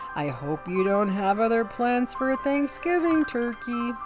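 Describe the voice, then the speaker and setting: A man puts on a character voice, pitched high and delivered at a fairly slow pace. Loud music plays in the background. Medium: read story. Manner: warm, hearty.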